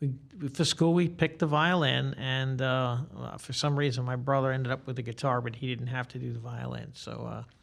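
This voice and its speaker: In a New York accent, a man with medium pitch talks at a fairly quick pace with fairly even intonation, on a very clean recording with a silent background. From New York City, Staten Island. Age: 60s. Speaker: guitarist and music teacher. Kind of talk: interview. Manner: talkative.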